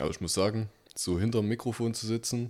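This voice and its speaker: The recording is very clean with a silent background as a man talks at a moderate pace and a medium pitch. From Saxony, Germany. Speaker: podcast co-host. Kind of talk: casual chat.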